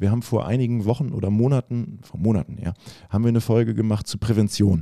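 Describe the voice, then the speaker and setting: The tone is dark and mellow. The pace is fairly quick, with ordinary pitch variation. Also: man. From northern Germany, Oldenburg. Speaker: physiotherapist. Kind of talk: casual interview.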